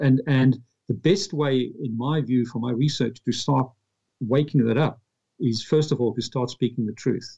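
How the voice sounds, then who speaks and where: The voice has ordinary pitch variation, a moderate pace, and a somewhat breathy sound. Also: man, medium pitch for a man. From South Africa, Pretoria. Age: 50s. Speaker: author. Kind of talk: interview.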